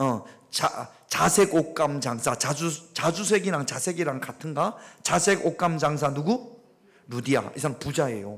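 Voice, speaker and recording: This is an ordinary speaking voice from a man. He talks at a moderate pace with lively intonation. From Gyeongsang region, South Korea. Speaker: pastor. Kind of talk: interactive Bible study sermon. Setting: church. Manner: conversational, questioning the congregation.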